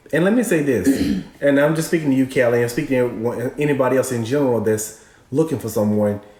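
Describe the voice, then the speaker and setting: A man talks at a very fast pace in a medium-pitched voice with ordinary pitch variation. Noticeable background noise runs underneath. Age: 40s. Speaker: co-host. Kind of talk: live stream advice chat.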